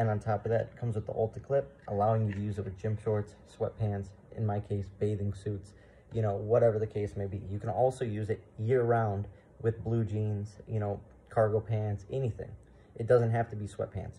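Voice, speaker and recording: A man speaks at a fairly quick pace in a monotone with flat intonation, his fairly low voice somewhat breathy. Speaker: firearms channel host. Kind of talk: product review. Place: home room. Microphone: phone near.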